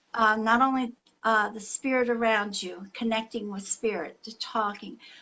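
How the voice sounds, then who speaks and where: A woman speaks at a fairly slow pace in a fairly high pitch. Her tone is bright and sharp. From Lebanese heritage. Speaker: psychic reader. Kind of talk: live psychic reading. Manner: halting, self-correcting.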